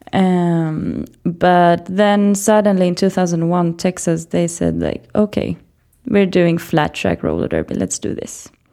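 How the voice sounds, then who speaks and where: A woman speaks at a fairly slow pace. She has a Swedish accent. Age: 20s. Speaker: teacher and roller derby player. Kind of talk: casual interview. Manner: halting.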